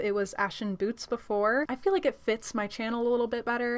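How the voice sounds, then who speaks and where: A woman with a fairly high pitch at a fairly quick pace. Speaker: beauty youtuber. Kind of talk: tutorial. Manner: fast; casual, upbeat.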